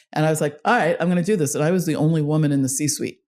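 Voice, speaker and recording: A woman's very deep, low pitch on a very clean recording with a silent background. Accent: Long Island. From Long Island, New York. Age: 60s. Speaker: fintech executive and consultant. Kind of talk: interview. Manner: animated.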